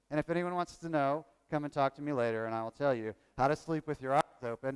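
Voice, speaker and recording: Over a silent background in a very clean, dry, close recording with no echo, a man talks at a fairly quick pace with a slight Southern US accent. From Virginia. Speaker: workshop presenter on training evaluation. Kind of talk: conference workshop talk.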